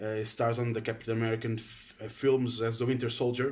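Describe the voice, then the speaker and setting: Speaking at a fairly quick pace with a Portuguese accent, a man keeps a medium pitch and a monotone, flat intonation. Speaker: film fan vlogger. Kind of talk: casual opinion monologue. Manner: halting, many fillers.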